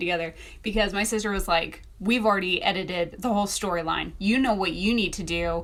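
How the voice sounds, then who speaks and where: Medium-pitched speech from a woman, heard with audible room echo. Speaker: self-published author and video creator. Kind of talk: casual storytelling vlog. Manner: animated.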